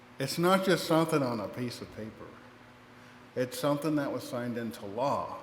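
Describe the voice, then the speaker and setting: Audible room echo surrounds a man with an American accent. He talks at a fairly quick pace with ordinary pitch variation. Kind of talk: public speech. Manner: halting.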